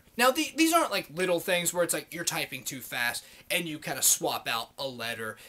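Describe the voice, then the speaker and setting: Bright and sharp in tone, a man with a high pitch talks at a fairly quick pace in an animated tone. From US Midwest, Columbus, Ohio. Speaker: vlogger, former electrician. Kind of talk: angry rant monologue. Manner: animated, heavy swearing.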